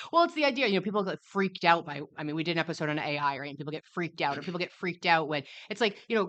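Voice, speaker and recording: A woman's animated, fairly low voice at a very fast pace with hardly any pauses, ordinary pitch variation and big swings in loudness. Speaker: podcast host and small business owner. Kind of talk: live event interview. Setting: live event in a room.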